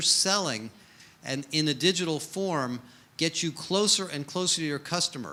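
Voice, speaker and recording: The speaker has an American accent and a bright, sharp tone. The pace is moderate, with ordinary pitch variation. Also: man. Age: 60s. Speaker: HR industry analyst. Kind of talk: conference keynote talk. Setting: stage with audience.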